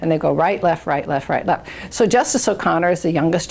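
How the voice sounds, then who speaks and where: A woman speaks at a fairly quick pace. Noticeable background noise runs underneath. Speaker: retired state supreme court justice, former Supreme Court law clerk. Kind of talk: oral history interview answer. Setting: interview recording.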